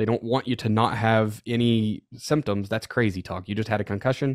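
A man with an unremarkable speaking voice talks at a fairly quick pace, at medium pitch with fairly even intonation, in a dry, close sound with no echo. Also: very clean recording, silent background. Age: 30s. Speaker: football coach, podcast co-host. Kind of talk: casual chat.

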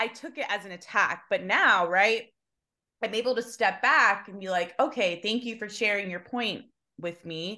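The background is quiet. A woman speaks with a bright, sharp tone. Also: fairly high pitch for a woman, ordinary pitch variation, moderate pace, big swings in loudness. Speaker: podcast co-host. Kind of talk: casual chat.

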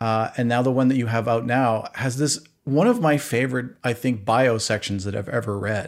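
A man at a moderate pace and medium pitch, in a very clean recording with a silent background. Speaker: podcast host. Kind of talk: interview conversation, casual. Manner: animated, talkative, friendly.

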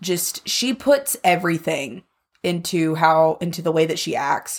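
Speaking at a fairly low pitch with lively intonation, a woman shows vocal fry. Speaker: podcast co-host. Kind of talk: casual chat.

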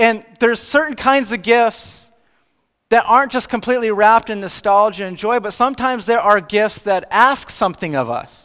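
A man's high-pitched voice with a bright, sharp tone. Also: ordinary pitch variation, moderate pace. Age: 30s. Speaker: pastor. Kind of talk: sermon.

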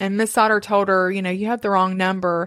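A woman with a normal speaking voice talks at medium pitch with fairly even intonation, in a very clean recording with a silent background. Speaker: podcast host telling the story. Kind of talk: true-crime narration, told to a co-host in a conversational way. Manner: steady, storytelling pace, conversational, with occasional asides.

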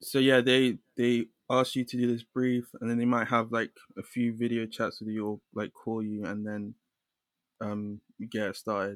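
A man's medium-pitched, monotone voice with flat intonation at a moderate pace, in a dry, close sound with no echo. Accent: London. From London, England. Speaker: illustrator. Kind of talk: casual interview chat.

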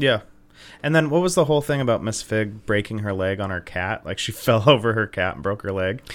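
An unremarkable speaking voice from a man, fairly low in pitch, fairly quick, with lively intonation, on a very clean recording with a silent background. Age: 20s. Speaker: comedy podcast co-host. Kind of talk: casual chat.

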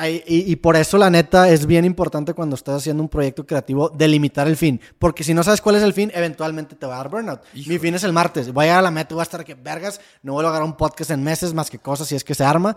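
In a very clean recording with a silent background and a dry, close sound with no echo, a man with a fairly high pitch and fairly even intonation talks at a very fast pace with big swings in loudness. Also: hardly any pauses. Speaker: podcaster. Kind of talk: casual chat.

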